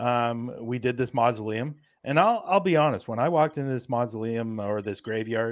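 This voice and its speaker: A man speaks with an American accent. He keeps a moderate pace. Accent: Canadian, heard as American. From Canada. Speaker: paranormal investigator. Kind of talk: casual chat. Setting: video call.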